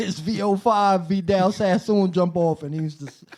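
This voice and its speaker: A man in a New York accent speaks at a high pitch. His intonation is lively. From Brooklyn, New York City. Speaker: hip-hop producer, DJ and rapper. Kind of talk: casual chat.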